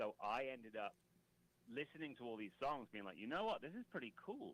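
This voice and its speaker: A man with a British accent speaks with lively intonation. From Britain. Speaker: comedy rapper. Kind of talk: casual chat.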